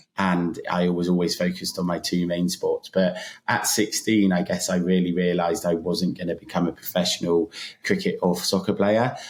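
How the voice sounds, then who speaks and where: A very deep-voiced man with a British accent at a moderate pace, in a very clean recording with a silent background. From Britain. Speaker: app founder, runner. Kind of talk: podcast interview.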